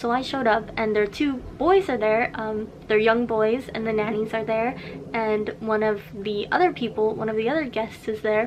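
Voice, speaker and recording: Against noticeable background noise, a woman speaks at a fairly high pitch with fairly even intonation. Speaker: vlogger. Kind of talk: casual vlog storytime. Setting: in a parking lot. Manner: fast.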